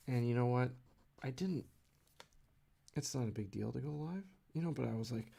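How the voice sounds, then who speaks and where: A man speaks quietly at a fairly quick pace, with a dark, mellow tone. His pitch varies in an ordinary way, and he leaves long, frequent pauses. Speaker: comic artist live streamer. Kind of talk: casual live stream chat while drawing. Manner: quiet, low; halting. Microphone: too quiet, mic turned up.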